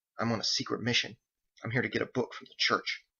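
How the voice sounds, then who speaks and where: A man puts on a raspy character voice. He talks at a very fast pace. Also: medium pitch for a man. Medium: read story. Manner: irritable, blunt.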